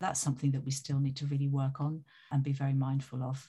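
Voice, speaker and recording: A woman's very deep, low voice, dark and mellow in tone and somewhat breathy, in a flat monotone at a very fast pace, on a very clean recording with a silent background. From Italy. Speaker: music industry executive. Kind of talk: interview.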